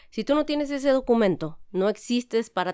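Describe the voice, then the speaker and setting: A woman's plain, everyday voice at a moderate pace, with lively intonation and a dry, close sound with no echo. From Mexico, San Luis Potosí. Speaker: corporate lawyer. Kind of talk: podcast interview.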